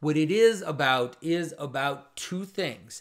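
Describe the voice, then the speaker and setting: A man with lively intonation against a quiet background. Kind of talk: commentary.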